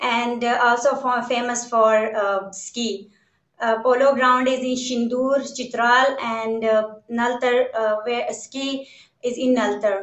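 Very slowly and in a flat monotone, a woman speaks at a high pitch, with audible room echo over a quiet background. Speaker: remote guest. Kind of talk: interview answer. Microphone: video call.

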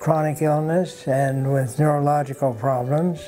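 Clear music plays in the background as a man speaks in a fairly high voice at a fairly slow pace with fairly even intonation. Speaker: practising doctor. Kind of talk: interview answer. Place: home room.

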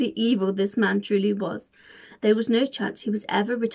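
The speaker uses an unforced reading voice. Intonation stays fairly even.

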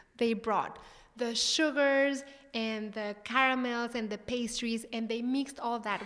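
A woman with a Mexican accent speaks at a fairly high pitch. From Mexico. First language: Spanish. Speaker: chef and cooking show host. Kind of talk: interview conversation. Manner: animated. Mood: warm, animated. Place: hall. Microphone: handheld.

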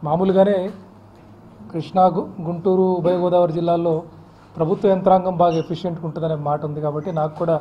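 A man speaks with a high pitch. His intonation is monotone and flat. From Vijayawada, Andhra Pradesh, India; Andhra Pradesh, India. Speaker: district collector. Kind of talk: press interview. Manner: halting. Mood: calm, measured. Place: office. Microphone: handheld.

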